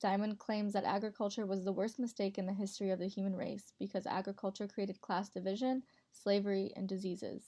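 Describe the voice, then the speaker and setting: A woman with an American accent speaks very fast with hardly any pauses, her dark, mellow tone at a medium pitch and her intonation monotone and flat. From Montana, US. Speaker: college student. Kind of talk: class presentation voiceover. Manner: read from script.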